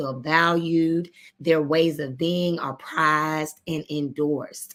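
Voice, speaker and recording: In a Southern US accent, a woman with a fairly low pitch speaks at a very slow pace. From Arkansas. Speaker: education consultant and coach. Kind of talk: live stream presentation. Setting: live video broadcast.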